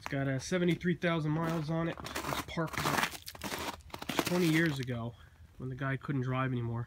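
Noticeable background noise sits behind the voice. The words come at a fairly slow pace. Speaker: car owner vlogger. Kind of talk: casual car walkaround, solo monologue. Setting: outdoors in cold weather. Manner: casual, filler-heavy, enthusiastic about the car.

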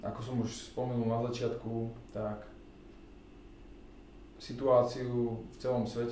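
At a fairly slow pace, a man speaks in a flat monotone, with light background noise and audible room echo. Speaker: double bassist and bass guitarist. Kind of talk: casual talk to camera. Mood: calm, reflective. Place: home room. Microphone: camera far.

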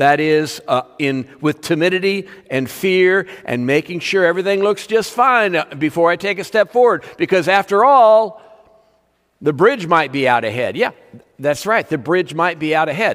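Over quiet surroundings, a man speaks at a moderate pace. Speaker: preacher. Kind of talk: sermon. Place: church. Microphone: podium.

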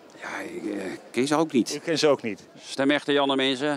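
Dry and free of echo, the recording carries a man talking. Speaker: radio host campaigning for votes. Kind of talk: street-style vox pop interview. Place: hall. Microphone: handheld.

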